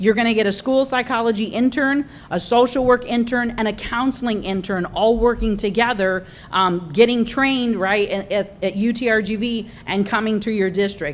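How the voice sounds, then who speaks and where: Here a woman speaks in a fairly high pitch. Her pitch variation is ordinary. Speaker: university grant presenter. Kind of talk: presentation at school board meeting. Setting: school board meeting. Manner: fast.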